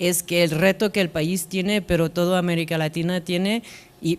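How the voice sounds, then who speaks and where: A woman with a non-native accent and fairly low pitch. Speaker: international development officer. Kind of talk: panel discussion. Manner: halting.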